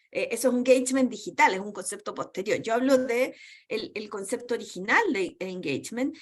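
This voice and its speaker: Lively intonation marks a woman talking at a fairly quick pace in a very clean recording with a silent background. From Chile. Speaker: university lecturer. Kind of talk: lecture. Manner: fast.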